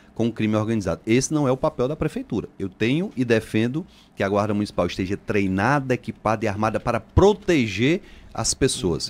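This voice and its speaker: At a moderate pace, a man talks in a plain, everyday voice at a medium pitch with ordinary pitch variation. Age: 40s. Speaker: politician, mayoral candidate. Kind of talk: radio interview.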